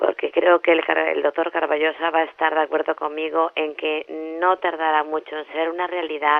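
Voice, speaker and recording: At a moderate pace, a woman talks in a plain, everyday voice with a fairly low pitch. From Spain. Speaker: journalist, interviewer. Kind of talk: interview questions.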